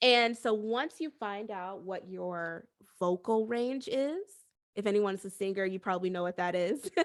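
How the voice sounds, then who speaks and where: In a very clean recording with a silent background, a woman speaks at a medium pitch and a moderate pace. Her tone is animated, with ordinary pitch variation. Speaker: voice actor. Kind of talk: seminar talk. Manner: soft-spoken.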